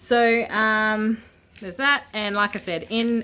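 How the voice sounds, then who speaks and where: Speaking with an Australian accent, a woman has a medium-pitched voice with a bright, sharp tone. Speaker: vlogger. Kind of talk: casual unboxing vlog. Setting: indoors at home. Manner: hesitant, many fillers.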